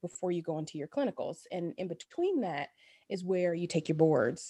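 A woman with an American accent speaks at medium pitch in a dark, mellow tone against a quiet background. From Dayton, Ohio. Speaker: family doctor. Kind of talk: casual interview.

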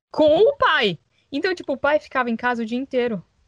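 Lively intonation drives a very fast delivery, with a dry, close sound and no echo. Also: woman. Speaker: podcast co-host, former au pair. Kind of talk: casual chat.

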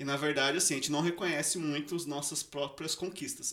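Speaking at a fairly quick pace, a man has fairly high pitch. There is noticeable background noise. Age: 30s. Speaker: engineer. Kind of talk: casual chat.

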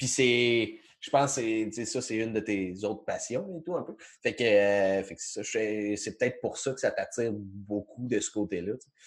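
Against a quiet background, a man with a Quebec accent and a medium pitch talks at a fairly slow pace, varying his pitch in an ordinary way and hardly pausing. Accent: Québécois French. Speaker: podcast host. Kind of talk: casual chat. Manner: halting, many repetitions.

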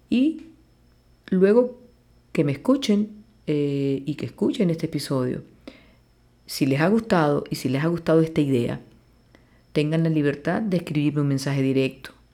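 A woman's very deep, low voice with a dark, mellow tone, lively intonation and long, frequent pauses. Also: moderate pace. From Venezuela, Maracaibo (Zulia). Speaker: plastic surgeon, podcast host. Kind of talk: podcast monologue.

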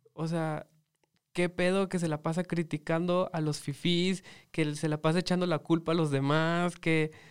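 A man speaks at a fairly slow pace with a high pitch. His intonation is monotone and flat. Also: very clean recording, silent background. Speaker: podcast host. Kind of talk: casual chat.

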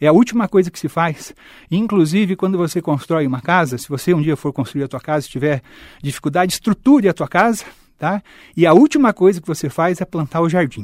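Lively intonation marks this man's high-pitched voice at a fairly quick pace. The sound is dry and close, with no echo. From Londrina, Paraná, Brazil. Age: 50s. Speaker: mayoral candidate. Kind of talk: interview.

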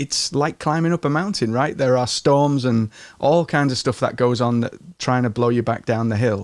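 With very even loudness, a man in an English accent speaks at a medium pitch on a very clean recording with a silent background. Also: ordinary pitch variation, moderate pace. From England. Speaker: business and marketing coach. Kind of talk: interview. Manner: calm.

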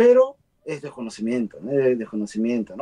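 The dry, close sound has no echo as a man talks at a moderate pace. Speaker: guest. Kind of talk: casual chat. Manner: talkative.

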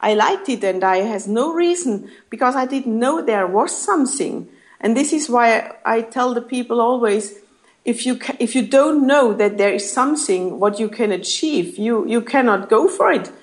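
With a German accent, a woman speaks at a fairly high pitch. Her intonation is lively and her pace moderate. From Germany. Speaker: network marketing leader. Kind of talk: interview. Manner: halting.

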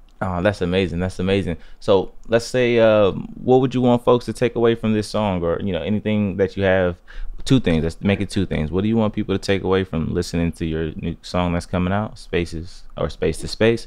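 This man has a normal speaking voice, fairly low in pitch. He talks at a fairly quick pace with ordinary pitch variation. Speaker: interviewer. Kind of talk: casual interview. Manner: casual.

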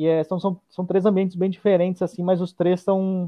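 A man with a high-pitched voice speaks at a fairly quick pace. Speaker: stand-up comedian. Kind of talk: casual chat.

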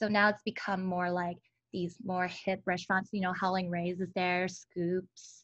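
A woman with an American accent speaks fairly slowly in a monotone, flat intonation. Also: medium pitch for a woman, quiet background. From Los Angeles, California. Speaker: social media influencer. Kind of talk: casual interview.

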